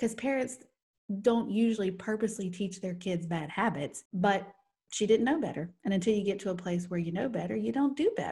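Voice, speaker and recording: The tone is dark and mellow, and somewhat breathy. Delivery is fairly quick with lively intonation. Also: woman, medium pitch for a woman. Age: 40s. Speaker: podcast co-host. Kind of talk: casual chat.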